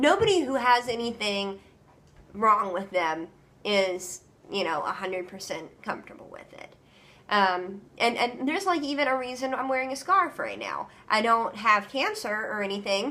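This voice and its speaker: A woman's fairly high voice moves at a moderate pace with lively intonation, and noticeable noise sits in the background. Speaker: vlogger. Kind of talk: casual vlog talk. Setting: home, doing laundry. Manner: hesitant, many ums; careful enunciation.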